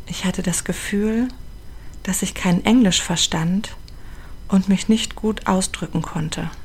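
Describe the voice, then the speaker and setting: Against noticeable background noise, a woman speaks very slowly with fairly even intonation and long, frequent pauses. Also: medium pitch for a woman. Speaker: podcast host and charity founder. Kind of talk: personal narration.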